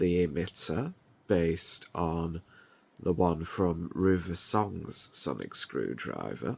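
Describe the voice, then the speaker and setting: A man's very deep, low voice at a very slow pace, on a very clean recording with a silent background. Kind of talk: casual product show-and-tell.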